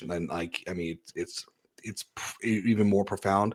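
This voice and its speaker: A man with an American accent speaks in a plain, everyday voice. His pitch is fairly low, with ordinary variation. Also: very clean recording, silent background. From California. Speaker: podcast host. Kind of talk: interview.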